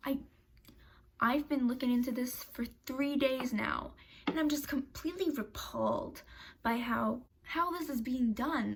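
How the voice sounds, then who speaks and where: A woman speaks in an animated tone with a high pitch and ordinary pitch variation. Her pace is fairly slow, broken by long, frequent pauses. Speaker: YouTuber. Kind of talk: commentary video.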